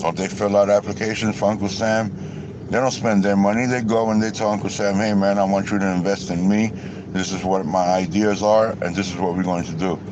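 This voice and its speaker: An angry male voice, fairly low in pitch, with fairly even intonation, a fairly quick pace, hardly any pauses and noticeable background noise. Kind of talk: casual rant to camera. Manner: angry, profane.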